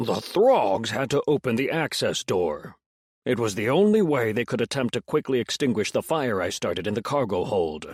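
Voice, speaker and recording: At a moderate pace, the speaker delivers lines in a put-on character voice. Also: man, medium pitch for a man. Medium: read story. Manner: smug, teasing.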